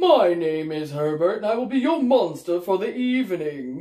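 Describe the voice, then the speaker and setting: In a put-on character voice, the speaker talks at a moderate pace and a middle pitch. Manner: polite, formal.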